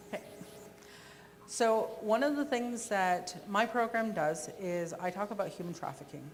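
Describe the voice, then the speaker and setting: A woman with a plain, everyday voice speaks at a medium pitch and a moderate pace, her intonation lively. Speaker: conference presenter on victim services. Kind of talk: presentation with Q&A.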